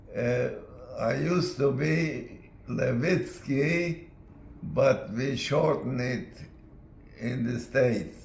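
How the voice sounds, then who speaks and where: Speaking at a very slow pace, a man with a fairly high pitch and ordinary pitch variation is heard with audible room echo. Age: 80s+. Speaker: war veteran. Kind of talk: video message. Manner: halting.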